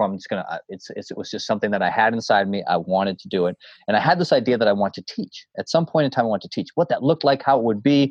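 Talking at a very fast pace with a Boston accent, a man keeps a medium pitch and lively intonation. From Boston area, Massachusetts (North Shore). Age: 40s. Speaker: coach and motivational speaker. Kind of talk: casual interview conversation. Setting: remote call from home. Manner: animated.

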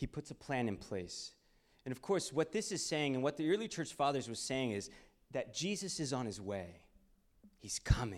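In a very clean recording with a silent background, a man with an American accent speaks at a moderate pace and a fairly high pitch, with very wide pitch swings and vocal fry. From Texas, Houston. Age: 20s. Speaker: ministry speaker. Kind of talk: sermon.

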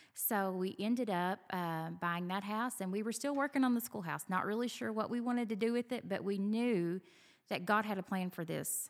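The recording is very clean, with a silent background. A woman speaks with a Southern US accent at a medium pitch. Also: ordinary pitch variation, moderate pace. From Kentucky. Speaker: venue owner. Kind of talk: casual interview. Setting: on location at venue.

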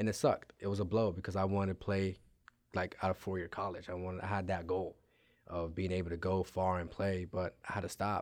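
A man with an American accent talks at a fairly quick pace in a very deep, low voice with monotone, flat intonation. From Maryland, Montgomery County (Silver Spring), then Frederick County. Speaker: semi-pro soccer coach and team owner. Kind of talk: interview.

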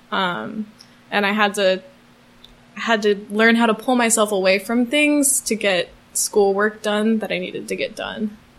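With fairly even intonation, this woman talks at a moderate pace. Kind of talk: casual interview.

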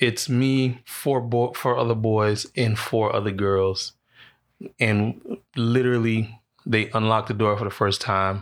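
A man speaks at a medium pitch in a monotone, flat intonation with very even loudness. The recording is very clean, with a silent background. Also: fairly slow pace. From Bahamas and South Florida, then Orlando. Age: 30s. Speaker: creative agency founder. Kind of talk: casual chat.

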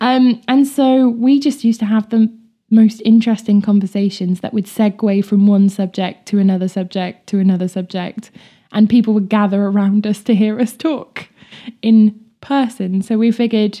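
The voice has a dark, mellow tone and sounds somewhat breathy. It moves at a moderate pace. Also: woman. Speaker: podcast host. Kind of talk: casual chat. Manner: animated.

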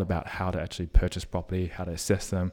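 A man with an Australian accent talks at a very fast pace on a very clean recording with a silent background. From Australia, Sydney (Strathfield). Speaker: podcaster and property investor. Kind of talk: interview.

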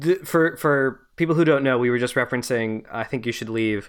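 In an ordinary speaking voice, a man talks at medium pitch with lively intonation on a very clean recording with a silent background. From Montreal, Canada. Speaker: podcast host. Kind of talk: casual chat, film podcast interview.

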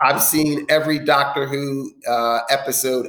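Against noticeable background noise, a man with an American accent speaks in a flat, monotone way. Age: 50s. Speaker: affordable housing developer. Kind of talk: interview. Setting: at home, remote.

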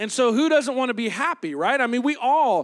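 A man speaks in an animated tone with ordinary pitch variation. The recording is very clean, with a silent background. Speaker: pastor. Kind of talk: sermon. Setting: church with congregation.

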